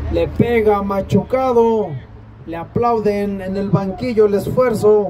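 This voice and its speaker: Very slow speech with fairly even intonation and big swings in loudness, over noticeable background noise. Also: man, high pitch for a man. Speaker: football match commentator. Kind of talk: live sports commentary.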